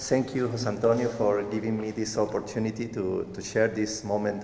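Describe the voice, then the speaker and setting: With a non-native accent, a man talks at a moderate pace amid audible room echo. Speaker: cancer survivor. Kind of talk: testimony. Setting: church stage with audience. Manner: halting.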